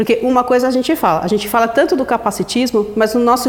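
Over noticeable background noise, a woman speaks at a very fast pace with a fairly high pitch and ordinary pitch variation. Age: 40s. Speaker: photographer. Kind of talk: interview. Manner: talkative.

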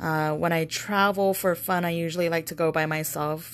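A woman with a normal speaking voice, fairly low in pitch, talks at a moderate pace with fairly even intonation. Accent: American. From Las Vegas, US. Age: 30s. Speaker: salesperson and tarot reader. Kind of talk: casual chat.

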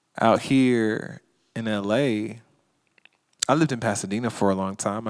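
On a very clean recording with a silent background, a man in a normal speaking voice keeps a moderate pace at a medium pitch with ordinary pitch variation. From US South, Georgia. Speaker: author and activist. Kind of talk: interview conversation.

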